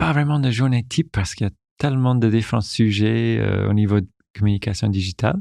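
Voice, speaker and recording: A man with an English accent speaks in a fairly low pitch, with ordinary pitch variation and a dark, mellow tone. The recording is very clean with a silent background, and the sound is dry and close with no echo. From Newfoundland, Canada. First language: English (speaking French). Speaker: corporate digital communications director. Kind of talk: interview. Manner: halting, with many repetitions.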